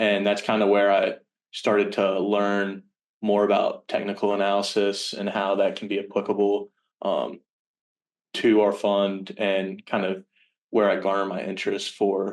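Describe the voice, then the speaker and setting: A man's fairly low, flat monotone in a Virginia accent, at a moderate pace over a quiet background. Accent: American, Virginia. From Richmond, Virginia, US. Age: 20s. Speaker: college student intern. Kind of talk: casual interview chat. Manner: hesitant, many fillers.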